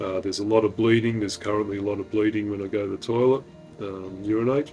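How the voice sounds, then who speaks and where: A man's fairly low voice in monotone, flat intonation over music in the background. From Australia. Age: 50s. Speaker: retired deep sea diver, cancer patient. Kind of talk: interview answer.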